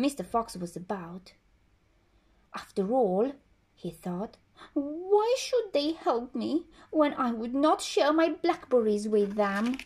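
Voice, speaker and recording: A high-pitched woman's voice, very slow, with very wide pitch swings and long, frequent pauses. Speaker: storyteller reading a picture book. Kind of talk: bedtime story telling, reading a children's tale aloud. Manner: gentle, soothing storyteller pace with expressive character voices. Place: home room. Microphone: phone near.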